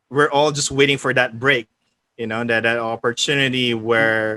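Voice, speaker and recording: A man speaks at a medium pitch in a monotone with flat intonation. His tone is bright and sharp, and the sound is dry and close with no echo. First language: not English. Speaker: game writer and tabletop organizer. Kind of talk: casual chat.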